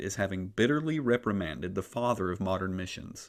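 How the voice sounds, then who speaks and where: A man with a slight Appalachian accent speaks at a very fast pace with lively intonation in a very clean recording against a silent background. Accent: slight Southern (Appalachian). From US South, Appalachia. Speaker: podcast host, church historian. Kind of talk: scripted history narration.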